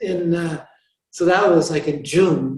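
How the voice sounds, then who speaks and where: With a North American accent, a man speaks at a fairly high pitch and moderate pace amid audible room echo. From US Pacific Northwest, rural Washington State. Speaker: Franciscan friar and author. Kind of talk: interview conversation. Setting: chapel with audience.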